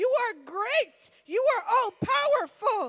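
A woman speaks at an extremely high pitch. Her intonation is lively. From US, Florida (West Palm Beach). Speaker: missionary preacher. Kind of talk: Pentecostal church sermon, rising into fervent exhortation. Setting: church sanctuary with congregation. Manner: animated; impassioned, emphatic build with repeated phrases.

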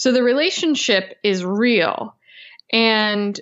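This woman has a medium pitch, ordinary pitch variation, and an ordinary speaking voice. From US, Italian-American heritage. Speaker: author and podcaster on Italian folk spirituality. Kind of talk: casual interview chat.

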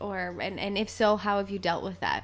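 With a Canadian accent and vocal fry, a woman speaks at medium pitch and a fairly quick pace, her pitch varying in an ordinary way. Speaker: podcast host, physician assistant. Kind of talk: interview.

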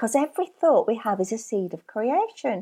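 Very wide pitch swings mark this voice with a Lancashire accent, caught in a very clean recording against a silent background. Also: woman. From northern England, Burnley, Lancashire. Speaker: spiritual coach and author. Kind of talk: interview, life story.

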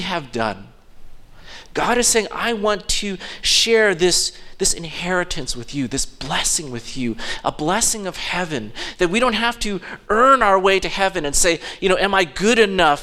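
Raising and projecting his voice, a man talks at a fairly slow pace with lively intonation, a bright, sharp tone and a high pitch. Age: 50s. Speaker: pastor. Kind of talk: sermon; impassioned Father's Day sermon, voicing God's offer of grace in an evangelistic appeal. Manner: conversational with frequent fillers and false starts; fervent, building appeal with repeated phrases and hesitant restarts.

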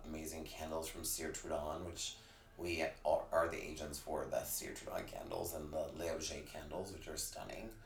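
Speech at a moderate pace comes through audible room echo and noticeable background noise. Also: man. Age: 40s. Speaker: beauty brand manager. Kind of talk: casual interview.

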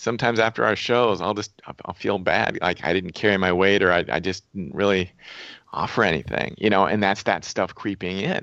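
A man speaks at a fairly quick pace in a fairly low voice. His pitch varies in an ordinary way. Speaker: radio co-host and author. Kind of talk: casual chat. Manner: halting, repeats words.

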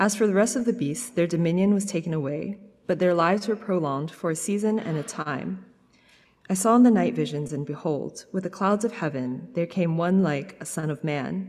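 A woman with a plain, everyday voice speaks at a fairly quick pace in a fairly low pitch, with lively intonation. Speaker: scripture reader. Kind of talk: reading aloud.

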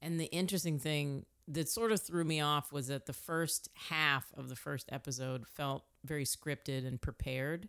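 This woman has a very deep, low pitch, ordinary pitch variation and a moderate pace with hardly any pauses. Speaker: podcast host. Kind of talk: casual chat.

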